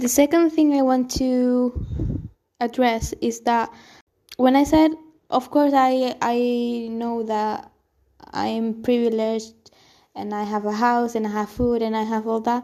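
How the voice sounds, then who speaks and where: A woman talks at a fairly slow pace with a high pitch and a dark, mellow tone. Her intonation stays fairly even. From Spain, Canary Islands. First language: Spanish. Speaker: solo podcaster. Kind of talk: personal reflective monologue. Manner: halting.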